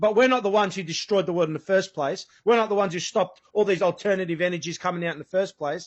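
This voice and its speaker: A man speaks with an Australian accent in an animated tone. His pitch variation is ordinary. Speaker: guest describing police crackdown, former use-of-force instructor. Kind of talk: interview.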